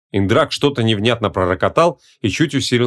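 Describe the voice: Plain reading aloud is heard here. The intonation rises and falls in a lively way.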